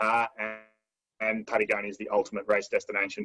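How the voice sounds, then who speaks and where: Music plays in the background. A man with an Australian accent talks at a fairly quick pace. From Lismore, New South Wales, Australia. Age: 30s. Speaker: adventure racer, navigator. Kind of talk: team introduction video.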